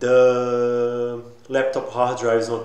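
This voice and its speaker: A man with a non-native accent speaks at a medium pitch. Noticeable background noise and audible room echo come through. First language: not English. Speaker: tech YouTuber. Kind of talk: tutorial. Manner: halting.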